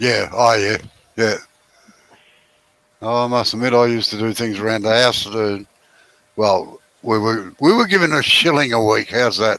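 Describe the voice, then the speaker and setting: A man with an Australian accent, medium pitch, ordinary pitch variation, a moderate pace and long, frequent pauses. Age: 70s. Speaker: woodturner. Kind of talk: casual chat.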